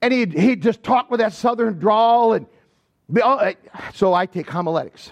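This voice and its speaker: In an Upper Midwest accent, a man with an extremely high pitch talks at a moderate pace with lively intonation and long, frequent pauses, the sound dry and close with no echo. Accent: Upper Midwest American. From southwestern Michigan. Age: 60s. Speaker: pastor. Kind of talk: sermon.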